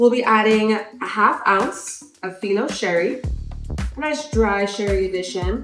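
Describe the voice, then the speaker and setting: A woman's fairly slow voice with ordinary pitch variation, audible room echo and faint music in the background. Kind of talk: tutorial. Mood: warm, enthusiastic. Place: bar.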